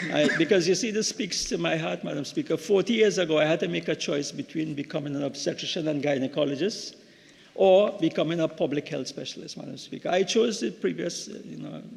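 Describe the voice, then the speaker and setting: A man talks at a fairly quick pace in a fairly high voice, with ordinary pitch variation and vocal fry. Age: 60s. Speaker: member of parliament, doctor. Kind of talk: parliamentary speech. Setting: parliament chamber. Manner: halting, with repetitions.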